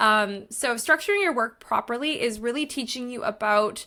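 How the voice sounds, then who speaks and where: On a very clean recording with a silent background, a bright, sharp voice moves at a moderate pace with ordinary pitch variation. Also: woman. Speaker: online course creator and productivity coach. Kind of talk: tutorial.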